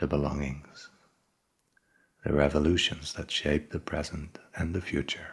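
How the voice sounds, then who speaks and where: Soft-spoken and somewhat breathy, a man talks at a fairly slow pace in a very deep, low pitch with a monotone, flat intonation. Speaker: ASMR book reader. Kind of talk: soft-spoken ASMR book reading. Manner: soft-spoken, slow, relaxing.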